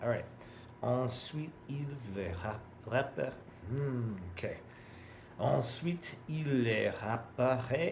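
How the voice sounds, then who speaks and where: With an American accent, a man speaks at a very slow pace with long, frequent pauses and ordinary pitch variation, amid noticeable background noise and audible room echo. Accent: American accent when speaking French. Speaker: language learner. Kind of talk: reading practice with commentary. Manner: halting.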